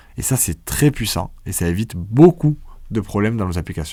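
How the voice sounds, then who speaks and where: A man with a southern French accent speaks in a dark, mellow tone with very wide pitch swings. The recording is very clean, with a silent background. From southern France. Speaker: programming teacher. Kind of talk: tutorial. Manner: casual, conversational.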